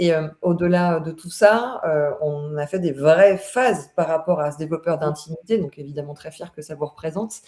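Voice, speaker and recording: A woman with a very deep, low pitch, ordinary pitch variation, a moderate pace and hardly any pauses. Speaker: consultant hosting a LinkedIn live. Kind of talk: live webinar conversation. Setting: online live stream. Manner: hesitant, many fillers.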